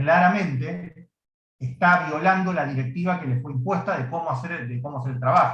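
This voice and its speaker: This man's voice sits fairly high, and his pitch varies in an ordinary way. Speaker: law teacher. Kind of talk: lecture. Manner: fast.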